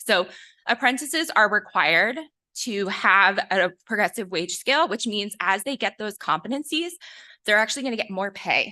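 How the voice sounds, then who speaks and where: Against a quiet background, a woman speaks at a moderate pace with a fairly high pitch and lively intonation. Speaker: education program presenter. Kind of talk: meeting presentation. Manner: shaky-sounding. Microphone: sound issue, stepped back from the mic.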